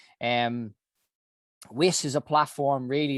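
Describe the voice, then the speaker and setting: A man with a Dublin accent speaks at a medium pitch, his sound dry and close with no echo over a quiet background. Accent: Dublin Irish. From Ireland, Dublin. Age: 40s. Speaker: health organization founder. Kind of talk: interview monologue. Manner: hesitant, many fillers.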